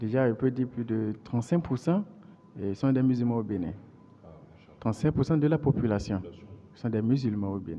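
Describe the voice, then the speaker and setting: Long, frequent pauses break up speech in a Beninese accent that moves at a moderate pace with lively intonation. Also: man, medium pitch for a man. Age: 30s. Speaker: interviewee, computer science graduate. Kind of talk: interview. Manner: halting, frequent repetitions.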